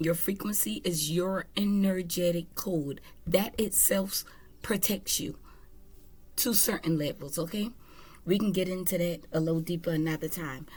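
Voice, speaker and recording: A woman speaks at a fairly low pitch, somewhat breathy. Her pitch varies in an ordinary way. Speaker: tarot reader. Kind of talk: spiritual reading monologue. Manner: casual, conversational.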